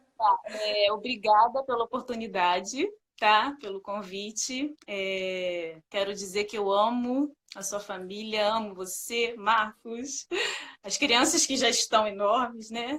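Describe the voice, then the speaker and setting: A woman speaks with a Rio de Janeiro accent at a very slow pace. Her pitch is fairly high, with ordinary variation. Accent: carioca accent, hissing s. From Rio de Janeiro, Brazil. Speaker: sales supervisor sharing testimony. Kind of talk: testimony. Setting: live video call.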